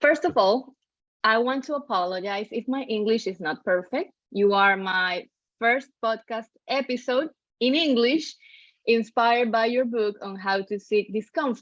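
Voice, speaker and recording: A woman speaks with a Spanish accent at a fairly high pitch. Her pace is fairly slow and her pitch variation ordinary. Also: quiet background. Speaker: podcast host. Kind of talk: interview.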